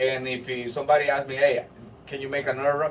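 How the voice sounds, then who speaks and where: Against noticeable background noise, a man with a Spanish accent speaks in a fairly high pitch. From Honduras. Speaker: rapper. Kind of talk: casual interview. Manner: halting.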